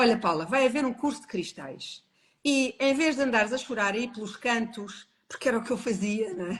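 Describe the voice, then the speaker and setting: A woman with a European Portuguese accent and a fairly high pitch sounds somewhat breathy, speaking at a moderate pace with lively intonation. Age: 60s. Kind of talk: personal testimony in a live interview. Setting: online live stream.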